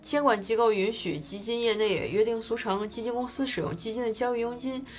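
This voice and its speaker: A woman talking at a fairly quick pace over light background noise. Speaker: finance explainer host. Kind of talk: explainer commentary. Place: home room.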